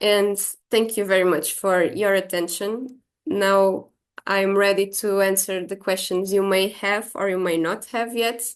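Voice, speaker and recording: A woman with an unremarkable speaking voice, medium pitch and fairly even intonation, at a fairly slow pace over a quiet background. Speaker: exercise science researcher. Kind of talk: lecture.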